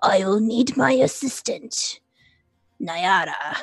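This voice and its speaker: This female-sounding voice is a raspy, put-on character voice, fairly high for a woman and very slow in pace. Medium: actual play. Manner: blunt, grandiose.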